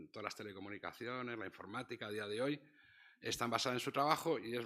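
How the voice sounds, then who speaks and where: A man speaks very fast with a Castilian accent and a bright, sharp tone. His medium pitch shows ordinary variation. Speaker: professor. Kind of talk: lecture. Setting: stage with audience. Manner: soft-spoken.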